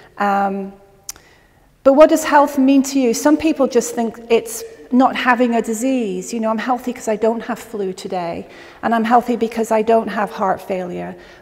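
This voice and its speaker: With an American accent, a woman speaks at a moderate pace and a fairly high pitch with ordinary pitch variation, over noticeable background noise. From England. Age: 50s. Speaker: natural health educator. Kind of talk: educational talk to a live audience.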